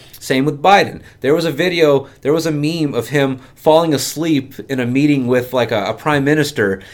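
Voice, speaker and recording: A man with a plain, everyday voice and fairly high pitch speaks at a moderate pace with hardly any pauses and ordinary pitch variation. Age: 30s. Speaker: insurance agency owner. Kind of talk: casual chat.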